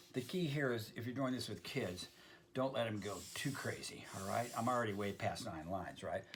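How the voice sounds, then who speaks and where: A man with vocal fry and lively intonation. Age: 70s. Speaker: art teacher. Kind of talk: tutorial. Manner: casual, many fillers.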